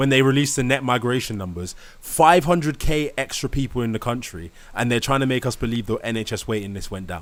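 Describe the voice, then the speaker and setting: Speaking very fast in a British accent, a man uses an animated tone, lively intonation and a medium pitch. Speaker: live stream host. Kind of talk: live stream debate.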